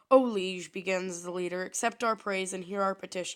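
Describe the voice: Plain reading aloud in a fairly even intonation.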